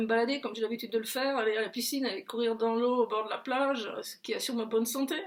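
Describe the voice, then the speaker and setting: Noticeable background noise is present. The talking races along very fast. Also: woman, hardly any pauses. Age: 70s. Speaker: political commentator. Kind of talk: casual video commentary. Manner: animated, hesitant with many fillers and repetitions.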